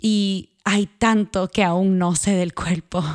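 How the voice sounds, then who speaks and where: In a Puerto Rican accent, a woman speaks at a medium pitch with fairly even intonation, her sound dry and close with no echo on a very clean recording with a silent background. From Puerto Rico. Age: 30s. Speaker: podcast host and journalist. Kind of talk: personal narration with guided body awareness. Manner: calm, reflective.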